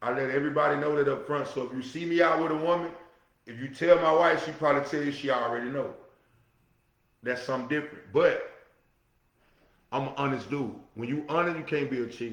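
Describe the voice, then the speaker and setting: Audible room echo follows a man with a fairly high pitch who talks at a very fast pace but leaves long, frequent pauses. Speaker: podcast host. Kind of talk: solo talk show monologue. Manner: loud; animated.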